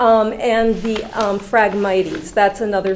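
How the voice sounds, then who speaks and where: Fairly slow pace over light background noise. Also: woman. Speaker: commission member. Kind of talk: public meeting discussion. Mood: concerned, inquiring. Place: meeting room. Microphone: podium.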